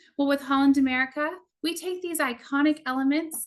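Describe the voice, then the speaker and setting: Talking at a fairly quick pace in a Texan accent, a woman uses a high pitch with ordinary pitch variation. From Texas. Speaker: cruise tour director. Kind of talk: travel presentation. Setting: online virtual event.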